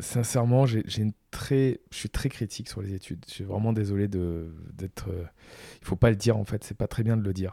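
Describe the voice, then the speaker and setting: Spoken at a fairly slow pace with a dark, mellow tone, this voice shows big swings in loudness and ordinary pitch variation on a very clean recording with a silent background. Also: man. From Provence, southern France. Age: 40s. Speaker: entrepreneur. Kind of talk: interview. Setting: in-person at guest's home.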